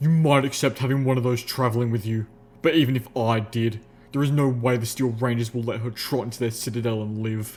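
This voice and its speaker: Growling in a put-on character voice, a man at medium pitch speaks at a fairly quick pace. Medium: read story. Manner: dry, stern.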